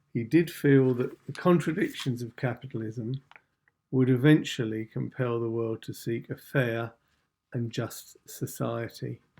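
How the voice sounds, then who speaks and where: Speaking fairly slowly with an English accent, a man uses a medium pitch, a dark, mellow tone and fairly even intonation. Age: 60s. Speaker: channel host. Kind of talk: scripted introduction. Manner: formal.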